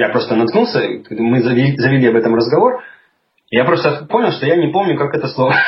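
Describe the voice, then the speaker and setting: Amid audible room echo, a man with a fairly high pitch and lively intonation speaks at a very fast pace, broken by long, frequent pauses. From Russia, Urals (Chelyabinsk). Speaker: podcaster living abroad. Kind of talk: casual interview conversation. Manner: hesitant, many fillers.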